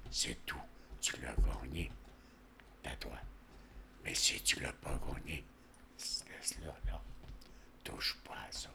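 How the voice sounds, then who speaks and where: Whispering at a very slow pace, a man leaves long, frequent pauses amid noticeable background noise. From rural Quebec, Montmagny county. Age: 80s+. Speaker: retired tradesman. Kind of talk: life-story interview. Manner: halting.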